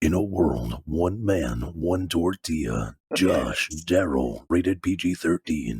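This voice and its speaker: Using a put-on character voice, a man talks at a fairly slow pace with a very deep, low pitch and very even loudness. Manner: dramatic, grandiose.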